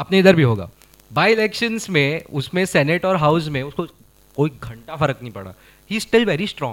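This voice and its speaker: A man speaks at a fairly high pitch for a man and a moderate pace. His pitch swings very widely. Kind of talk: casual chat. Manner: animated.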